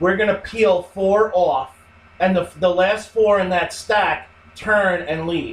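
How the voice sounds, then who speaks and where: A man's high-pitched voice at a very slow pace, fairly even in intonation, with noticeable background noise. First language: not English. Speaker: podcast co-host. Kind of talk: casual chat.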